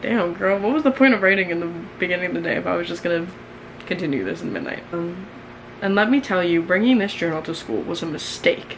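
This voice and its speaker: Talking at a very fast pace with lively intonation, a woman is heard through noticeable background noise and audible room echo. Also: fairly low pitch for a woman. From New York. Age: 20s. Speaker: YouTuber. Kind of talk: casual chat, reading own diary aloud. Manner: animated.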